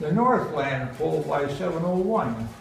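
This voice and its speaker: Noticeable background noise behind a man at a moderate pace. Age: 80s+. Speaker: poet. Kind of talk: poetry reading. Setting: live festival audience.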